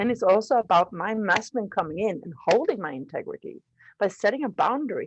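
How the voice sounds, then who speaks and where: The speech races along at a very fast pace with very wide pitch swings and big swings in loudness, the sound dry and close with no echo. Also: woman, fairly high pitch for a woman. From Sweden. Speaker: leadership coach, guest speaker. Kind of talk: online panel discussion.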